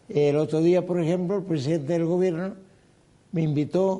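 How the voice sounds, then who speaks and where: Here a man talks with a high pitch and a dark, mellow tone. His pace is fairly quick and his pitch variation ordinary. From Canary Islands. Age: 80s. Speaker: former politician. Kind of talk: interview.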